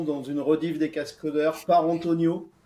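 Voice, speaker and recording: Over noticeable background noise, a man talks with a southern French accent. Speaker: software architect. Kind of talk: podcast interview.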